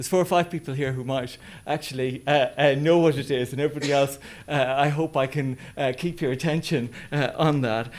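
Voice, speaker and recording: Speaking fairly quickly with an Irish accent, a man with fairly high pitch keeps his intonation fairly even. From west of Ireland. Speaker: business school head, academic. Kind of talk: presentation. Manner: hesitant, many fillers.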